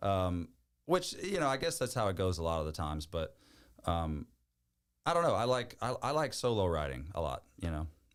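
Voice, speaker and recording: A man with a Louisiana accent, very deep and low in pitch, with very wide pitch swings at a moderate pace, on a very clean recording with a silent background. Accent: Southern US, Louisiana. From Louisiana, Bayou Chicot. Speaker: country music singer. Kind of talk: podcast interview answer.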